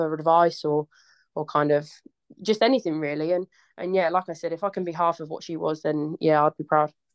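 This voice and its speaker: Fairly even intonation from a woman with a fairly low pitch, a fairly quick pace and an unremarkable speaking voice. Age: 20s. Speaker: footballer. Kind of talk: casual chat.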